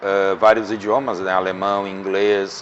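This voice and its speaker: Over noticeable background noise, a man speaks at a fairly slow pace with a Rio Grande do Sul accent. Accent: gaúcho. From Rio Grande do Sul, Brazil. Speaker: restaurant owner. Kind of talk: interview. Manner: halting.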